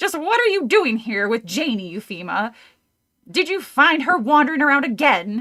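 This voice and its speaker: Using a put-on character voice, a woman projects a raised voice at a high pitch, with very wide pitch swings and a moderate pace. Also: very clean recording, silent background. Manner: sternly accusing, cackling.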